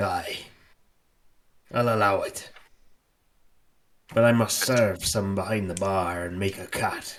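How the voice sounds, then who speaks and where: Putting on a raspy character voice, a man speaks fairly low at a fairly slow pace with fairly even intonation and long, frequent pauses. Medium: actual play. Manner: gruff, scrutinizing.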